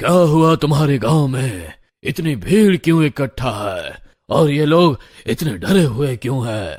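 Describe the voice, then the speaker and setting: In a put-on character voice, a man speaks at a moderate pace with a fairly high pitch and lively intonation. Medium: read story.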